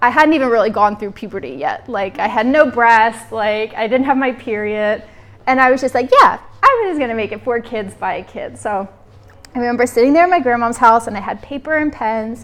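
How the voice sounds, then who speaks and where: With an American accent, a woman speaks at a fairly quick pace and a fairly high pitch. It is a plain, everyday voice with ordinary pitch variation. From United States. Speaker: women's health practitioner. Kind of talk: live workshop talk. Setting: workshop room with audience. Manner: casual, conversational with fillers.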